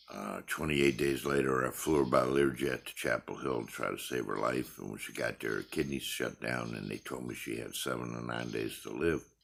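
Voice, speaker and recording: A man talks with a very deep, low pitch and vocal fry. He moves at a fairly quick pace with hardly any pauses and fairly even intonation. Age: 60s. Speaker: retiree recording family history vlog. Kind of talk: personal monologue. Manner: halting.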